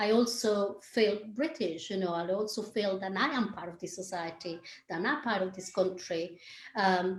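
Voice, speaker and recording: Moderate pace with a Colombian accent, ordinary pitch variation and big swings in loudness. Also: woman, medium pitch for a woman. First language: Spanish. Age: 50s. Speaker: dance teacher and choreographer. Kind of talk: interview conversation.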